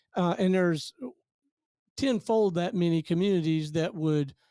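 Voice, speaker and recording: At a fairly slow pace, a man speaks with a high pitch, ordinary pitch variation and a dark, mellow tone. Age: 60s. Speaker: business radio owner. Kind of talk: podcast interview. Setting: studio.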